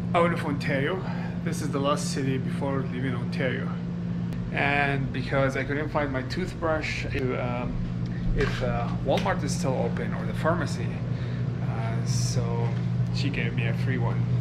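Loud background noise runs behind a man who leaves long, frequent pauses. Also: moderate pace. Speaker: road trip vlogger. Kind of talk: casual vlog chat. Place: home room. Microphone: phone near.

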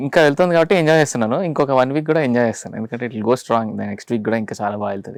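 Here is a normal speaking voice: a man at medium pitch, with ordinary pitch variation and big swings in loudness. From Andhra Pradesh, Rayalaseema (Kurnool, Anantapur), later Hyderabad. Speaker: singer and film music composer. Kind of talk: casual interview.

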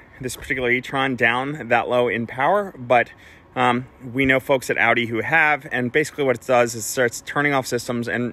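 A man talks at a moderate pace with fairly even intonation. The sound is dry, with no echo. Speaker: car club host. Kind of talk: casual explanatory vlog chat answering questions. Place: street.

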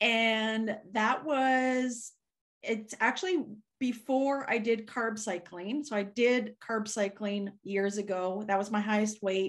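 Against a quiet background, a woman talks at a very slow pace. Her voice is fairly high, with ordinary pitch variation. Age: 40s. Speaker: keto content creator. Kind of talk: casual chat. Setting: video call. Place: home room. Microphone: video call.

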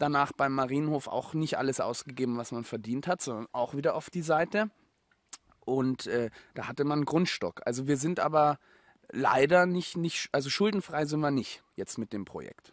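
A man talks at a moderate pace with a fairly high pitch and ordinary pitch variation. The recording is very clean with a silent background, and the sound is dry and close with no echo. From Germany, Munich. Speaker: former actor turned homesteader. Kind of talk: casual interview. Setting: on location at a rural mill in Austria.

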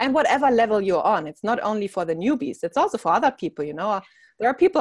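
Over a quiet background, a woman's voice swings very widely in pitch, in a dry sound with no echo. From Germany. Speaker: business mindset coach; interview guest. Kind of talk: interview. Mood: earnest, reflective. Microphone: earbuds.

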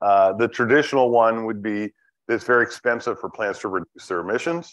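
Against a quiet background, a man speaks fairly quickly with ordinary pitch variation. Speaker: economics lecturer. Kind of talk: lecture. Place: hall.

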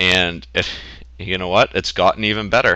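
Speaking at a fairly quick pace with an American accent, a man has a very deep, low pitch, a bright, sharp tone, vocal fry and lively intonation. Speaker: WordPress tutorial host. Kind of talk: screen-recording software tutorial. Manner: casual, conversational.

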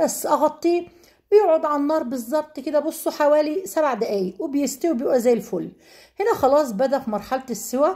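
A woman speaks at a high pitch in a dark, mellow tone. Her intonation is lively and her pace moderate. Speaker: cooking vlogger. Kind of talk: cooking tutorial.

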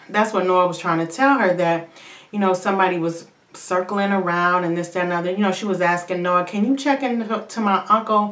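A woman talking at a fairly quick pace with ordinary pitch variation, audible room echo around her voice. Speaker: TV show reviewer. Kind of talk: casual vlog chat. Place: bathroom. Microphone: phone near.

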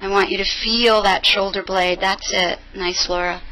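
Faint music plays behind a woman who speaks very slowly in a calm, warm tone with monotone, flat intonation. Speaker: yoga instructor. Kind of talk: live yoga class instruction, cueing breath and poses. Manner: calm, rhythmic breath-paced cueing with short commands; encouraging, warm affirmations. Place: gym.

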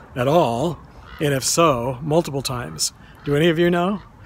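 At a moderate pace, a man speaks with a dry sound with no echo and light background noise. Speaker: cemetery tour vlogger. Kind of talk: casual vlog chat. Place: open country. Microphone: phone near.

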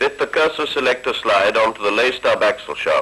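A man talks at a moderate pace. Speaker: film narrator. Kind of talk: vintage training film narration, scripted voice-over. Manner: formal, measured, dry and matter-of-fact, steady instructional pace.

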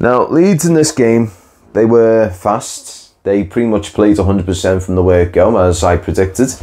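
The tone is slightly mellow, with lively intonation. The pace is moderate. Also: man.

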